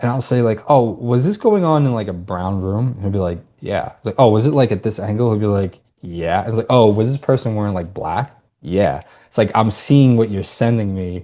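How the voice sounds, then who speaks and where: Against a quiet background, a man with a dark, mellow tone and fairly low pitch speaks fairly quickly with ordinary pitch variation. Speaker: astrology podcast co-host. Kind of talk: casual chat. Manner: sometimes slurs words.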